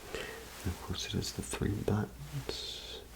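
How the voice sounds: A man's slow whisper, edged with vocal fry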